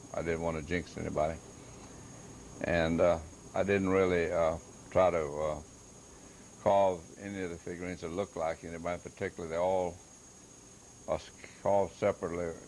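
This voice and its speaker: In a Louisiana accent, a man talks at a fairly quick pace with a very deep, low pitch and a monotone, flat intonation. His speech is broken by long, frequent pauses. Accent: Louisiana Southern US. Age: 70s. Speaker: woodcarver and hobby artist. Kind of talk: self-recorded exhibit explanation. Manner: halting, many fillers.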